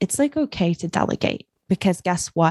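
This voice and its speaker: Her voice sits at a medium pitch as the woman talks at a moderate pace. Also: dry, close sound with no echo. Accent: New Zealand. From New Zealand. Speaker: microgreens business founder. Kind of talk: podcast interview.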